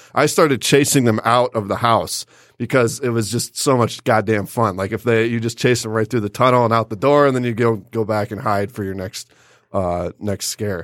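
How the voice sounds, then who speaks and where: An unremarkable speaking voice with fairly even intonation moves at a moderate pace in a very clean recording, with a silent background and a dry, close sound with no echo. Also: man, medium pitch for a man. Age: 30s. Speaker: podcast host. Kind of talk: casual chat. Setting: studio.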